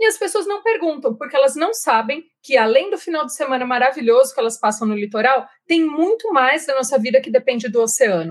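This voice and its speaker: A woman with a São Paulo interior accent, high-pitched with very wide swings, at a fairly quick pace with hardly any pauses. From Jundiaí, interior of São Paulo, Brazil. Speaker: marine scientist. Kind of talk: interview.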